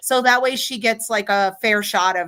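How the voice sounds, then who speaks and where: An American accent from a woman, bright and sharp in tone, with ordinary pitch variation and a moderate pace. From New York. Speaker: psychic medium. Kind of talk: live psychic reading livestream. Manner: casual, animated.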